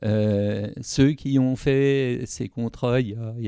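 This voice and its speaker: A man speaks against a quiet background. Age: old. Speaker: retired trade unionist. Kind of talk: interview.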